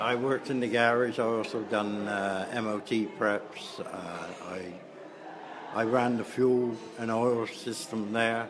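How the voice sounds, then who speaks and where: A man talks at medium pitch with monotone, flat intonation. Noticeable background noise and audible room echo are present. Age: 70s. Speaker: retired garage worker. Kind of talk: oral history interview.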